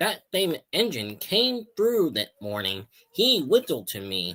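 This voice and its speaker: A man performs a put-on character voice at a fairly high pitch, swinging very widely in pitch at a fairly slow pace. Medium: read story. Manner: gentle, calm.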